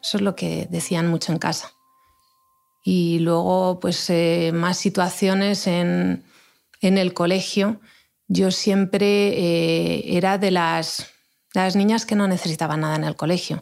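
A woman speaks very slowly at a fairly low pitch, with monotone, flat intonation. The recording is very clean, with a silent background. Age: 40s. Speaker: mother of gifted children. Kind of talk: interview. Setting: studio.

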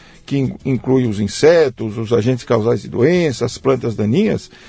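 A man talks at a moderate pace, his voice somewhat breathy with a dark, mellow tone. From Brazil, São Paulo state (Jundiaí area). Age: 70s. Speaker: agronomy professor. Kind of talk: interview conversation. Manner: halting, many repetitions.

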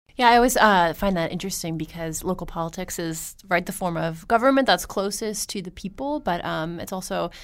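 A fairly quick-paced woman's voice, fairly low, with vocal fry, in a very clean recording over a silent background. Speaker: city and county government reporter. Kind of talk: casual chat, podcast discussion. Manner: fast talker.

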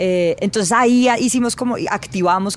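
Lively intonation comes through at a fairly quick pace against noticeable background noise. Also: woman. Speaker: journalist. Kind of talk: interview.

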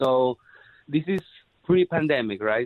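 A man with a Spanish accent talks at a medium pitch and a moderate pace. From Peru. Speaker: rock drummer. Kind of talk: casual interview.

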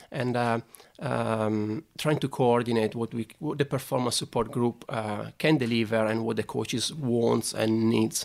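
A man with an Italian accent speaks at a fairly slow pace. His medium pitch comes with fairly even intonation. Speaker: sports scientist. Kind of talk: interview conversation. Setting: studio. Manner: halting, hesitant with repeated words.

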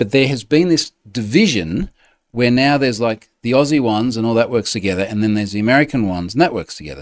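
A man's medium-pitched voice with an Australian accent and lively intonation, in a very clean recording with a silent background. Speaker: podcast host. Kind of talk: casual chat. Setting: home. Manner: informal, chatty.

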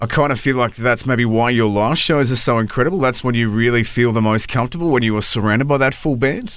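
At a very fast pace with hardly any pauses, a man with an Australian accent speaks at medium pitch, ordinary pitch variation and very even loudness. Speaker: radio host and podcaster. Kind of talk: interview. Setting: studio.

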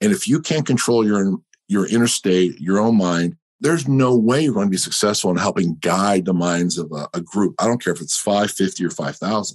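At a moderate pace, a man speaks with a fairly low pitch and an unremarkable speaking voice. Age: 50s. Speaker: leadership author and military veteran. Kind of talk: interview conversation.

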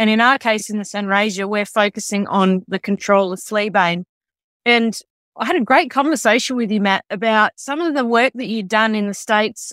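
A woman with an Australian accent talks at a fairly high pitch and moderate pace with ordinary pitch variation, the sound dry and close with no echo on a very clean recording with a silent background. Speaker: agriculture podcast host. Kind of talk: interview.

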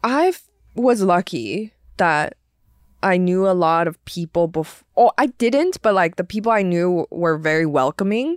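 With a Chinese accent, a woman speaks at medium pitch and a fairly slow pace, her loudness swinging widely, in a dry, close sound with no echo on a very clean recording with a silent background. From China, moved to US at age ten. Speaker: stand-up comedian. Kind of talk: casual chat. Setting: studio.

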